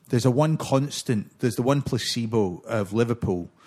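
A man with a normal speaking voice talks at a moderate pace, medium in pitch with ordinary pitch variation. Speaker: podcast host. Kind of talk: casual chat.

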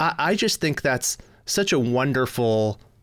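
With a Midwestern American accent, a man speaks at medium pitch. The recording is very clean, with a silent background. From US Midwest, Michigan. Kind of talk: casual interview chat.

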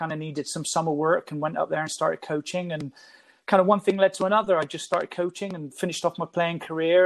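A man's high voice with fairly even intonation. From England, Bristol. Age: 50s. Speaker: youth soccer technical director. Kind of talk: podcast interview.

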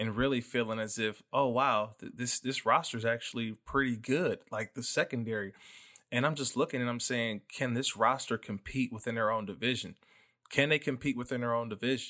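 With an American accent, a man talks at a fairly quick pace in a bright, sharp tone at medium pitch, his intonation fairly even, on a very clean recording with a silent background. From Oakland, California. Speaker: football analyst and former NFL player. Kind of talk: casual sports podcast chat.

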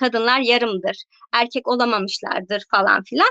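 A woman's raised, projected voice, high-pitched and bright with a sharp tone, at a fairly quick pace in a dry, close sound with no echo. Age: 30s. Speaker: book content creator. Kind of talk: casual chat.

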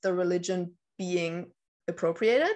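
Over a quiet background, a woman speaks with a German accent. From northern Germany, near Danish border. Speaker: witchcraft YouTuber. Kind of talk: casual interview. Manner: hesitant, many fillers.

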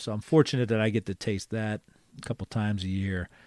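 A man speaks fairly quickly in a plain, everyday voice, fairly low in pitch. The recording is very clean, with a silent background. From Philadelphia, US. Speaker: card collector and card show organizer. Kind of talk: casual interview chat.

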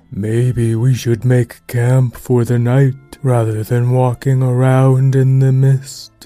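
A man speaks in a put-on character voice at a medium pitch and a fairly slow pace. His intonation is monotone and flat, with faint music behind him. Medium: actual play. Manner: calm, cautious.

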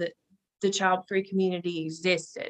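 A woman of medium pitch speaks with a North Carolina accent. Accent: Southern US (North Carolina). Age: 20s. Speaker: podcast guest. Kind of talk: casual interview chat.

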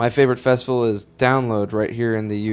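Here is a man with a normal speaking voice and a medium pitch. His pace is fairly quick. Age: 20s. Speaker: podcast host. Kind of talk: casual chat.

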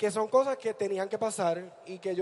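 Speaking at a moderate pace, a man has a high pitch. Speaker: drag performer. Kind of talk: onstage interview.

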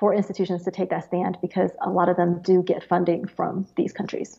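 With an American accent, a woman talks at a medium pitch. Her intonation is monotone and flat, her pace moderate. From Beijing, China, then the US. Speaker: index founder, former wealth advisor. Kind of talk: interview.

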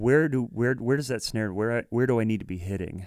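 In a very clean recording with a silent background and a dry, close sound with no echo, a man with an American accent uses a normal speaking voice, fairly low in pitch with ordinary pitch variation. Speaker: podcast host, drummer. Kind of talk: casual interview chat.

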